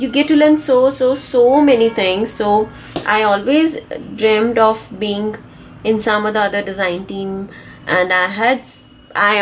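Fairly slow speech with ordinary pitch variation and music in the background. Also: woman. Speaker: craft youtuber. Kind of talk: tutorial. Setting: home studio.

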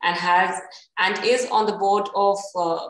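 Room echo can be heard around the voice. The woman speaking varies her pitch in an ordinary way. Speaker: host of an interview series. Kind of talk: formal introduction of a guest. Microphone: video call.

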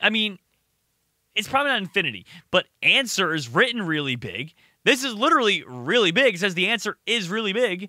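A man's high, raised and projected voice, bright and sharp in tone and animated, racing along at a very fast pace with very wide pitch swings, in a dry sound with no echo against a quiet background. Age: 20s. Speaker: gaming YouTuber. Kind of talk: casual gameplay commentary. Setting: home recording with webcam. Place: home room. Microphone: studio mic.

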